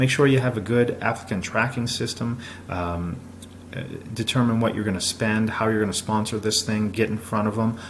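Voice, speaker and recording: Speaking at a fairly quick pace, the man has a medium pitch. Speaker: business consultant. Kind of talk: presentation. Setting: recorded video. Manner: fast; energetic.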